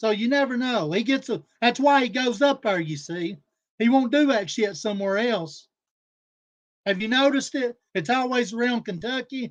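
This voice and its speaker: A man talks at an extremely high pitch for a man, at a moderate pace. His pitch variation is ordinary, and the background is quiet. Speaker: streamer. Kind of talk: livestream rant. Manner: loud; animated.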